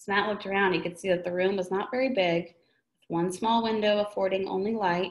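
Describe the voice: Over a quiet background, the speaker delivers plain reading aloud.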